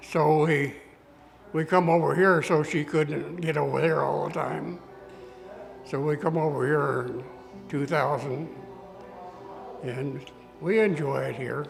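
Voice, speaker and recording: A man with a fairly high voice talks at a fairly slow pace and a fairly even intonation, leaving long, frequent pauses while music plays in the background. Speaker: retired barber and former farm boy. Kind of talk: interview answer.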